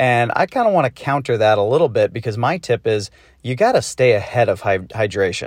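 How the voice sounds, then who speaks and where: A man with an American accent and an unremarkable speaking voice talks at medium pitch and a moderate pace, the sound dry and close with no echo over a quiet background. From US Northeast, Massachusetts. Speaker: listener. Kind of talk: recorded voice message.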